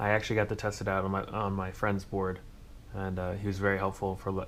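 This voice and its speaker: Light background noise sits behind a man's fairly low voice. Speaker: tech YouTuber building PCs. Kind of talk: hardware build tutorial. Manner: fast; casual with fillers. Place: home room. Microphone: phone near.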